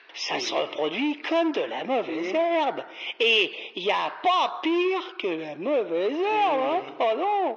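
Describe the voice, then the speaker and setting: A put-on character voice speaks at a high pitch. The pace is fairly slow, with light background noise. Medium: audio drama. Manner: casual, chummy.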